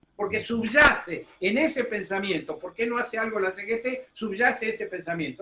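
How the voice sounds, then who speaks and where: A man speaks in a high pitch with lively intonation and an animated tone. His voice is raised and projected, and he barely pauses. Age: 70s. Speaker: political commentator. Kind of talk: radio interview. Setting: radio studio.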